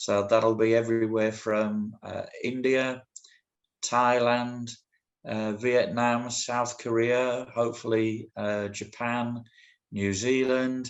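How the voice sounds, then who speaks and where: A man speaks at a very slow pace with a medium pitch. His intonation is monotone and flat. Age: 60s. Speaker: walking football association representative. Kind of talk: conference presentation. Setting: video call. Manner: hesitant, many fillers.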